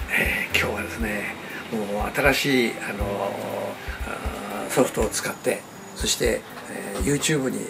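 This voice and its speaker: Loud background noise surrounds a man speaking. He goes at a fairly slow pace with long, frequent pauses. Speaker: hot spring business consultant. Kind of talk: interview answer. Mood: cheerful, smiling. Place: meeting room. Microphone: webcam.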